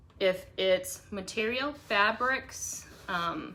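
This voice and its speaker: A woman of medium pitch with an American accent and lively intonation, over noticeable background noise. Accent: slight Boston accent noticed by viewers. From Boston. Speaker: craft live streamer. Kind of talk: live craft tutorial. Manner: casual, chatty.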